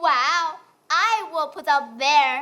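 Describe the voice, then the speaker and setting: A female-sounding voice in a put-on character voice reaches a high pitch. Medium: stage play.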